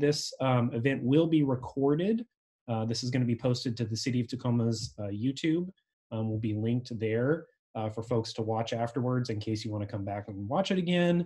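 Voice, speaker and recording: Against a quiet background, a man speaks at a fairly quick pace in a dark, mellow, somewhat breathy tone with ordinary pitch variation. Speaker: local official hosting meeting. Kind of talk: meeting host introduction. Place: home room. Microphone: webcam.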